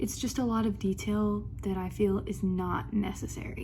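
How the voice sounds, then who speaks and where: Whispering at a moderate pace, a woman speaks amid audible room echo. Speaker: book vlogger. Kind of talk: reading vlog. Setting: student lounge at school, in one segment. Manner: whispering in one segment; casual, filler-heavy.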